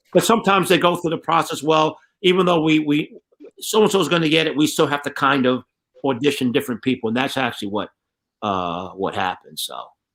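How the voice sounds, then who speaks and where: The voice races at a very fast pace, its pitch swinging very widely. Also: man, fairly high pitch for a man. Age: 60s. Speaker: martial artist and stunt performer. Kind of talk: casual chat. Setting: online radio show. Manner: repetitive, stammering restarts.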